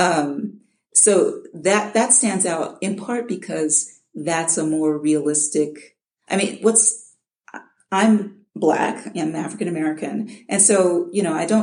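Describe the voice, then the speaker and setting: A woman with a dark, mellow tone and fairly low pitch talks at a fairly slow pace with lively intonation. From Chicago, US Midwest. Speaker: audiobook narrator. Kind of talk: interview. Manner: halting, repeats words.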